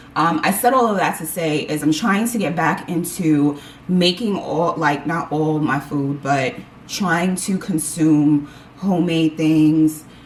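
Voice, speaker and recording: A woman's very deep, low voice with an animated tone, ordinary pitch variation and a fairly slow pace, over noticeable background noise. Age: 40s. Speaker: lifestyle vlogger. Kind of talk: casual chat.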